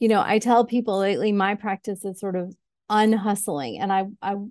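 Against a quiet background, a woman talks in an ordinary speaking voice at medium pitch and a fairly slow pace. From US Northeast (New York State, Syracuse). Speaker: executive coach. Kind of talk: podcast interview.

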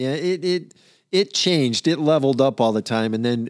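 In an ordinary speaking voice, the speaker uses lively intonation at a moderate pace, the sound dry and close with no echo on a very clean recording with a silent background. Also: man. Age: 60s. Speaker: music fan, father of hosts. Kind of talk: casual chat. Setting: home basement studio.

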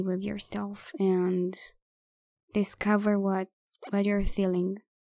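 A very slow, calm and soothing voice with a dark, mellow tone and monotone, flat intonation, on a very clean recording with a silent background. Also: woman, dry, close sound with no echo. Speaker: podcast host and poet. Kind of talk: poetry reading, spoken word. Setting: solo recording. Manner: slow, calm, soothing; gentle, meditative, with pauses.

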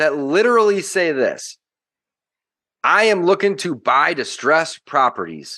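Against a quiet background, a man with an American accent speaks in an unremarkable speaking voice with lively intonation. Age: 30s. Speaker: real estate investor. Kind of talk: podcast interview.

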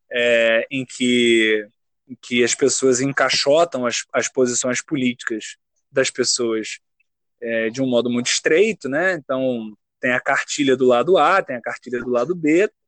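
A man speaks in a plain, everyday voice at medium pitch and a fairly slow pace, with ordinary pitch variation and a dry, close sound with no echo. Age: 20s. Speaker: graduate student and writer. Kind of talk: casual chat.

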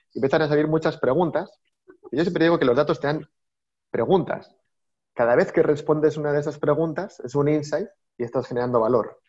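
A man speaks at a fairly quick clip with fairly high pitch and ordinary pitch movement. Long pauses break up his speech often. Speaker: data executive. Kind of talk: interview.

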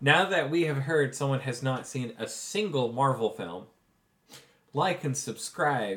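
At a fairly slow pace, a man with a fairly high pitch speaks in an ordinary speaking voice with lively intonation. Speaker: game master running tabletop RPG. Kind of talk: tabletop RPG session with narration. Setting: in person around a table.

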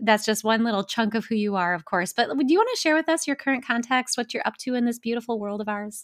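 A woman speaks very fast with hardly any pauses, using a fairly high pitch, ordinary pitch variation and a warm, enthusiastic tone, in a dry, close sound with no echo. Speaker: podcast host and author. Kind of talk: interview.

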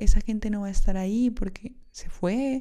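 This woman has a fairly high pitch. Her pitch varies in an ordinary way. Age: 20s. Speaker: podcast host. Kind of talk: solo podcast monologue.

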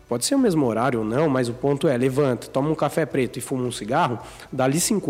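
Speaking very fast at a medium pitch, a man shows ordinary pitch variation while background noise is noticeable. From Brazil, Sorocaba (São Paulo state). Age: 20s. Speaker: entrepreneur, clothing brand co-founder. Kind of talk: casual interview chat.

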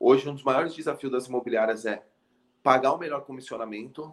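This man talks at a very fast pace and a medium pitch. His intonation stays fairly even. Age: 30s. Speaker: tech startup founder and CEO. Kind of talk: business interview. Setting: live video stream.

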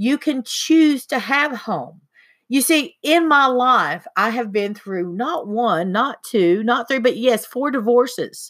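The speech has an Appalachian accent and lively intonation. It moves at a very slow pace on a very clean recording with a silent background. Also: woman, high pitch for a woman. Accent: Appalachian Southern US. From US South, eastern Tennessee. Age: 50s. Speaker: podcast host, spiritual healer. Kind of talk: casual chat.

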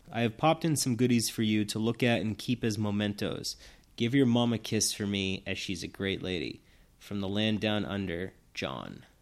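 A man with a New England accent speaks at a fairly low pitch. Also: ordinary pitch variation, moderate pace, very clean recording, silent background. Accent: New England American. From Massachusetts. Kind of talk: testimony.

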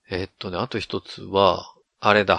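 In a dry, close recording with no echo and a quiet background, a man speaks with a western Japanese accent. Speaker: podcast host. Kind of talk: casual chat.

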